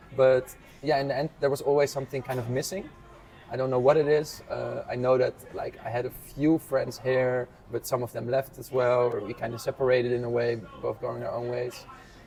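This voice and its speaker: Against noticeable background noise, a man of medium pitch speaks at a fairly quick pace in a monotone, flat intonation. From Netherlands, around Amsterdam. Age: 20s. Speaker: physical therapist. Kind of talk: casual interview.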